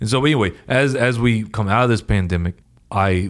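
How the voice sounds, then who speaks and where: A man with an American accent talks at a fairly quick pace, his intonation lively. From US West Coast, Oregon. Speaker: company co-founder and CEO. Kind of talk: casual interview. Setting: video call from home office. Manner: animated, emotional.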